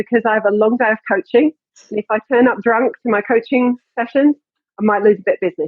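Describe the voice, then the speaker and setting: The delivery is very fast, with ordinary pitch variation. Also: woman. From England. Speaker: fitness coach and gym owner. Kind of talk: casual interview.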